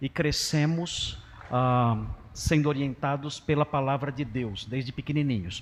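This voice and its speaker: A man's plain, everyday voice, medium in pitch, with ordinary pitch variation and a fairly slow pace. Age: 60s. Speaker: pastor. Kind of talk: sermon. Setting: church.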